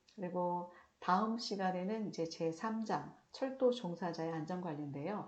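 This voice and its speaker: Here a woman talks at a fairly low pitch. Audible room echo and noticeable background noise surround her voice. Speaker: lecturer on railway safety law. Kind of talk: recorded online lecture. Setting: recorded video lecture. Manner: trying to speak slowly and clearly.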